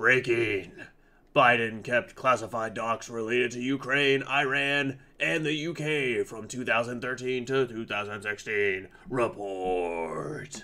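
At a very slow pace, a man puts on a character voice at medium pitch. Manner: dramatic, breaking-news delivery.

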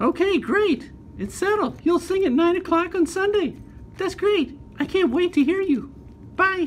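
A cartoonish character voice, female-sounding and extremely high in pitch, at a moderate pace over clear background noise. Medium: puppet show. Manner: enthusiastic, persuasive, warm.

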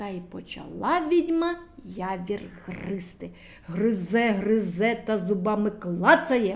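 With vocal fry and lively intonation, a woman speaks slowly at a medium pitch.

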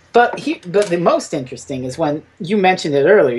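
Fairly quick pace over noticeable background noise. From Canada. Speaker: podcast panelist. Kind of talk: casual chat.

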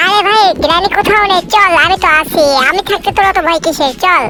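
A put-on character voice rattles along at a fairly quick pace over clear background noise. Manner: boastful, comic.

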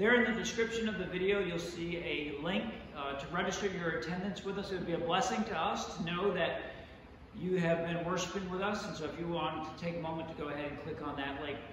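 Very fast speech with strong room echo and light background noise. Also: man, high pitch for a man, ordinary pitch variation. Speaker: pastor. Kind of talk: church welcome announcements. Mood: warm, welcoming. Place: church.

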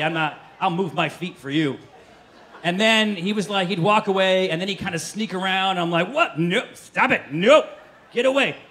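A man's raised, projected voice, animated in tone, with lively intonation and a fairly quick pace. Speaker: stand-up comedian. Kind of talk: stand-up comedy set, first-person travel anecdote building to a punchline. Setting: stage with live audience. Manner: animated storyteller, acting out scenes with mimed gestures and sound effects; voices others in exaggerated bursts, flustered stammering protests. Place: stage. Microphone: handheld.

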